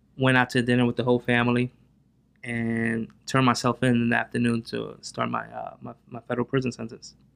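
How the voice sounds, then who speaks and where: A man with a New Jersey accent at a fairly quick pace, with big swings in loudness. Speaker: real estate investor. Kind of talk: interview.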